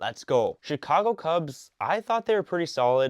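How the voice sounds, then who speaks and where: A normal speaking voice with lively intonation moves at a moderate pace, the sound dry and close with no echo over a quiet background. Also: man. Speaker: sports commentator YouTuber. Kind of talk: casual commentary. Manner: casual, filler-heavy.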